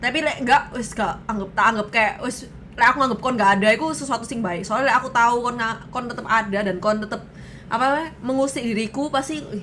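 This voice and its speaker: A woman speaks at a very fast pace and fairly high pitch with ordinary pitch variation. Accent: strong Surabaya. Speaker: streamer. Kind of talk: casual chat.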